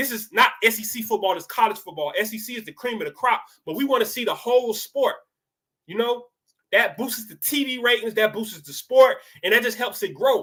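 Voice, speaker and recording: A man's raised, projected voice with an American accent, extremely high in pitch, bright and sharp in tone, with big swings in loudness. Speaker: sports picks youtuber. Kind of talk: casual sports talk monologue. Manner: fast; animated.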